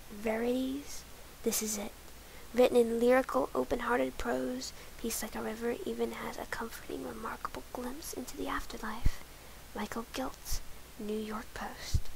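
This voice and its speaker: The speaker is soft-spoken at a moderate pace, with noticeable background noise. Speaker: ASMR creator. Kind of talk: ASMR soft-spoken reading.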